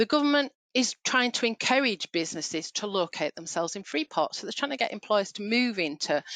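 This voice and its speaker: Over a quiet background, a woman talks with a Yorkshire accent, the sound dry and close with no echo. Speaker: payroll trainer. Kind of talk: webinar training session. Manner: hesitant, many fillers.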